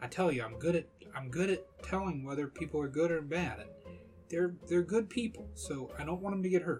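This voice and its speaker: A nasal, put-on character voice at a middle pitch goes at a moderate pace. Faint music plays in the background. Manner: polite, cautious, earnest.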